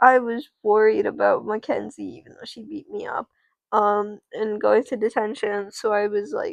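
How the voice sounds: Pitch variation in this natural reading voice is ordinary. Nothing stirs in the quiet background.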